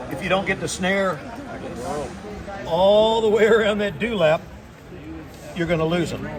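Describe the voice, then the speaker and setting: A high-voiced man speaks at a moderate pace with fairly even intonation and long, frequent pauses, heard with audible room echo and noticeable background noise. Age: 60s. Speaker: iguana hunter. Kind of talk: casual chat.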